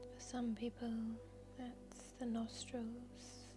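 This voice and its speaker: Over music in the background, a woman speaks very slowly in a calm tone, her fairly high pitch held in a monotone, flat intonation. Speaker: yoga nidra guide. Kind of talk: guided yoga nidra meditation. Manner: soft-spoken, slow, calm.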